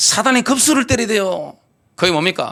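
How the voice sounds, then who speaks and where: A bright, sharp tone with lively intonation. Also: man. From Gyeongsang, South Korea. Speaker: pastor. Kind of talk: sermon. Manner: animated.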